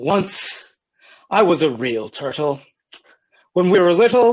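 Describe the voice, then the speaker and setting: Putting on a character voice, a man talks in a high pitch at a fairly slow pace. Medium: stage play. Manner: mournful, slow.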